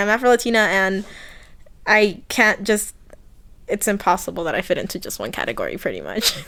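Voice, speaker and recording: Over a very clean, silent background, a woman with a Spanish accent talks at a very fast pace, her fairly high pitch showing ordinary variation and her loudness swinging widely. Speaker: interviewee, college student. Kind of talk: casual interview.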